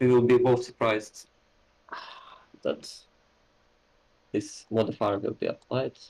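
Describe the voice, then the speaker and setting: With a non-native accent, a man speaks at a fairly slow pace. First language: not English. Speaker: wargame player. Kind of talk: casual game discussion.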